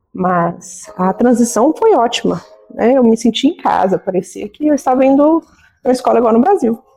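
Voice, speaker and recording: A woman's lively intonation with music in the background. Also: fairly high pitch for a woman, moderate pace, very even loudness. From Minas Gerais, Brazil. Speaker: nurse and beauty business owner. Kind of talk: interview.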